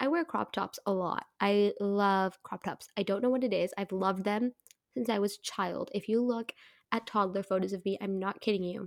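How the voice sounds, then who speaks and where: At a moderate pace, a woman speaks in an animated tone at a medium pitch with ordinary pitch variation, the sound dry and close with no echo. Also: very clean recording, silent background. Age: 20s. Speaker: podcast co-host. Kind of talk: casual chat.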